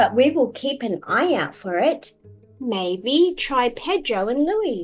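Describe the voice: A woman puts on a character voice, fairly high-pitched with a slightly husky edge, swinging her pitch widely at a slow pace while faint music plays in the background.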